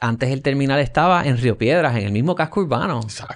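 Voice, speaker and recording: With a Puerto Rican accent, a man talks at a very fast pace in a medium pitch over a quiet background. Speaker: podcast host. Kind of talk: interview conversation.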